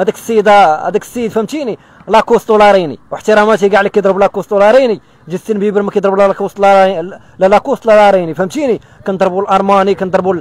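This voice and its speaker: Talking at a fairly quick pace, a man uses a high pitch, and the sound is dry with no echo. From Morocco, Casablanca. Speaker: local social media personality; interviewee. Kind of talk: street interview. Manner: animated; fast. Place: street. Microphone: handheld.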